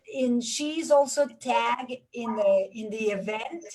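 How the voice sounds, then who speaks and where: Somewhat breathy speech comes through here. The speaker is a woman. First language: Spanish. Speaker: consulate cultural affairs official. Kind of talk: online panel interview.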